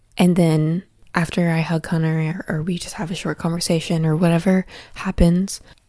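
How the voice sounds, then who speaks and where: A woman's fairly low voice, dark and mellow in tone, flat and monotone at a moderate pace. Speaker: podcast host. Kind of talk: personal monologue podcast.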